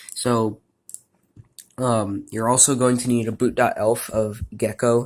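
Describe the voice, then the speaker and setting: The man speaks at a medium pitch in a monotone, flat intonation. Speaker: video game modder. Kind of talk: tutorial. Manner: hesitant with fillers.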